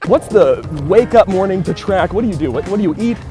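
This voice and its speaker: With music in the background, the speaker talks at a fairly quick pace with an American accent. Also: man. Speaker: aspiring sports broadcaster. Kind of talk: interview questions.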